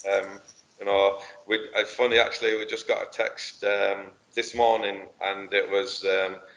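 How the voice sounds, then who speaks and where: Speaking with an English accent, a man keeps to a moderate pace. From northern England, Rochdale. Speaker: football coach. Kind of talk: casual chat. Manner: halting.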